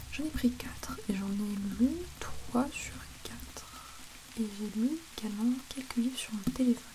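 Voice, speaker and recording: Soft-spoken and relaxed in tone, a woman talks fairly slowly in a fairly high voice with ordinary pitch variation and long, frequent pauses, over noticeable background noise. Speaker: ASMR creator. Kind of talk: soft-spoken ASMR talk to camera. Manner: soft-spoken, relaxed, chatty.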